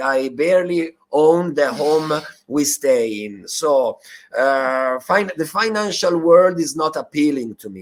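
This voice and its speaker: A man speaks with an Italian accent. His pitch variation is ordinary and his pace fairly slow. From Italy. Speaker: bitcoin activist and educator. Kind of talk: interview. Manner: halting with fillers and repetitions.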